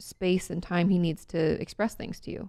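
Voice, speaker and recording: The sound is dry and close with no echo as a woman speaks in a dark, mellow tone. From rural small town. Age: 30s. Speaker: therapist. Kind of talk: interview.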